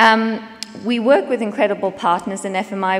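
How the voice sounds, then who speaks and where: At a fairly quick pace, a woman talks with a South African accent and ordinary pitch variation. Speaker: business executive. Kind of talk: conference talk. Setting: stage with audience.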